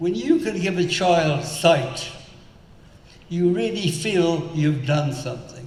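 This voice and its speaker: Very slow man with high pitch and ordinary pitch variation, with audible room echo and noticeable background noise. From South Africa. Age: 90s. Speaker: entrepreneur and philanthropist. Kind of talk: on-stage interview. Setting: stage with audience.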